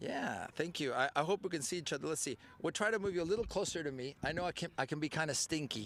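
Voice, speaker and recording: Talking at a very fast pace with hardly any pauses, a man sounds animated, with lively intonation. His pitch is fairly high and carries vocal fry. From Mexico. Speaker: soccer show host. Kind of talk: live interview show. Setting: live broadcast at sports complex.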